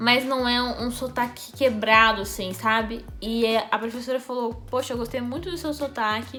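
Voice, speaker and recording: A woman with a Brazilian accent talks at a moderate pace with hardly any pauses, fairly high pitch and fairly even intonation. Noticeable background noise can be heard. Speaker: YouTuber. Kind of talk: personal storytelling vlog.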